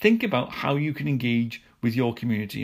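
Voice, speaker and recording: A man talks at a mid-range pitch with the usual pitch variation, and the recording is very clean with a silent background. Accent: British. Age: 40s. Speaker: podcast host, lawyer. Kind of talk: solo business news podcast. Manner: halting, many fillers and repetitions.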